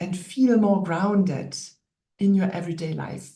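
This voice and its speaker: Audible room echo surrounds a woman with a German accent and a fairly low pitch. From Germany. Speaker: naturopath and wellness coach. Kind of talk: online workshop lecture.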